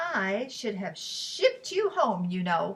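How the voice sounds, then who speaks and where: In a put-on character voice, a woman sounds gruff at a fairly high pitch. She goes at a fairly slow pace. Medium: read story. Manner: gruff, scolding.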